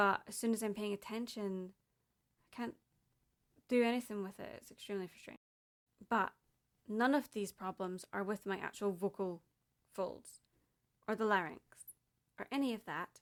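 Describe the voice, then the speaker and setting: With long, frequent pauses, a woman speaks at a moderate pace and a medium pitch, her intonation fairly even but her loudness swinging widely. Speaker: podcaster. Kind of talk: personal audio diary. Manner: emotional, candid.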